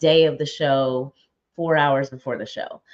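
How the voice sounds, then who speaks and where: A woman with an American accent speaks at a very deep, low pitch with fairly even intonation. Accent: New York, slight, comes out now and again. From upstate New York, Albany suburb. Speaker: live show host. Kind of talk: casual talk to live viewers. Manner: direct.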